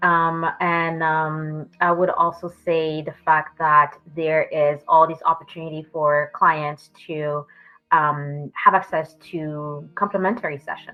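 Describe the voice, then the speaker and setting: Very deep, low female voice with a French accent, monotone and flat, over music in the background. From France and Miami. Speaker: therapist. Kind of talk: interview answers. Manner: hesitant with many fillers.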